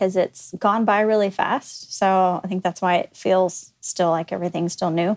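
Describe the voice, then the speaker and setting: An ordinary speaking voice from a woman, medium in pitch with ordinary variation, at a moderate pace, on a very clean recording with a silent background. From Texas, Dallas area. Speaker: company executive. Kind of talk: casual chat.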